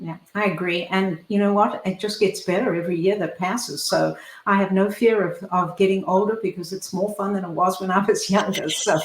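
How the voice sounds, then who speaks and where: Over noticeable background noise, a woman with a medium pitch talks with hardly any pauses. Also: fairly quick pace. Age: 70s. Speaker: talk show host and foundation founder. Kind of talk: interview show. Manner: animated.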